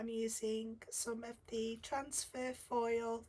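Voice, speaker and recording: Speaking very slowly, a woman with a British accent has a fairly high pitch. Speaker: guest card-making designer. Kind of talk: tutorial.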